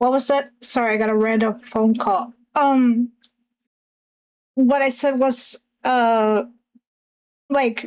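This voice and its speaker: A woman with a non-native accent talks at a very slow pace, leaving long, frequent pauses. Her pitch is high, her intonation fairly even, and her loudness very even. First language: not English. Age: 20s. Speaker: streamer and artist. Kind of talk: casual chat. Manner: halting.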